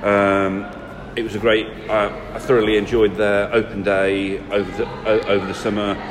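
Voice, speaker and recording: A man speaks in a fairly low monotone at a moderate pace, his intonation flat. Noticeable background noise and audible room echo surround him. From Nottinghamshire, England. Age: 30s. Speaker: local councillor. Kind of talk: interview. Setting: leisure centre. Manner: hesitant, many fillers.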